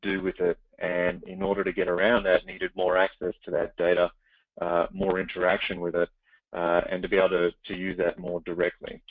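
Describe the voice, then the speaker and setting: A man with an Australian accent speaks at a very fast pace in a fairly low voice. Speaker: startup CEO. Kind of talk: webinar interview. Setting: webinar call.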